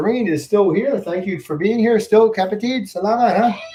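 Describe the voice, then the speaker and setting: This man talks at a fairly quick pace. His accent is American. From upstate New York. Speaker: YouTube vlogger. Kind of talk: livestream chat with viewers. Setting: home livestream on computer. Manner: fast; casual, filler-heavy.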